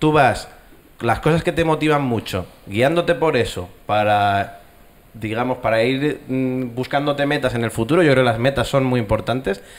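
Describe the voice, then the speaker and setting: A man's pitch varies in an ordinary way as he talks at a moderate pace. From Castilla y León, Spain. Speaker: animation studio co-founder; panelist. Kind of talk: panel discussion. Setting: stage with audience. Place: hall. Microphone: handheld.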